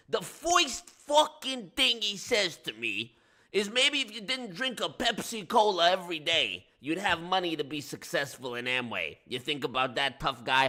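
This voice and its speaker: A man in a put-on character voice with a New York accent speaks high and raised, projecting loudly. His pitch swings very widely at a moderate pace with hardly any pauses. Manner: exaggerated, confrontational.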